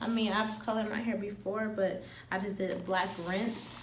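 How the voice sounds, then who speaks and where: Soft-spoken and at a moderate pace, a woman with a fairly high pitch talks over noticeable background noise and audible room echo. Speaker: beauty vlogger. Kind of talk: tutorial.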